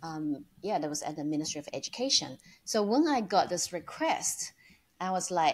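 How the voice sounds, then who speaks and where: With a Chinese accent and lively intonation, a woman speaks at a moderate pace in a very clean recording with a silent background. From China. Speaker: online entrepreneur. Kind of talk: interview. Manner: hesitant, many fillers.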